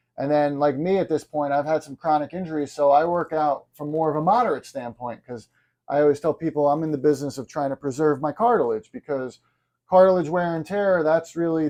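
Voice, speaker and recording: With a plain, everyday voice, a man speaks at a fairly high pitch. His pace is fairly quick, and his pitch varies in an ordinary way. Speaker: chiropractor. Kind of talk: podcast interviewer.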